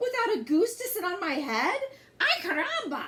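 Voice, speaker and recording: A woman's squeaky, put-on character voice at an extremely high pitch, with very wide pitch swings at a moderate pace. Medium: read story. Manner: excitable.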